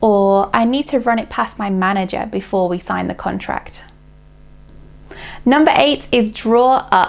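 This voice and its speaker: A woman with a British accent, fairly high in pitch, with ordinary pitch variation and long, frequent pauses. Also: fairly slow pace. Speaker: English teacher. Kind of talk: English lesson to camera.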